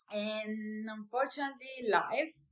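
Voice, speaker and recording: A woman with an Italian accent, fairly high pitch and ordinary pitch variation. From Italy, small town. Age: 30s. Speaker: vlogger and small business owner. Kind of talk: personal vlog introduction. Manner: hesitant, with fillers.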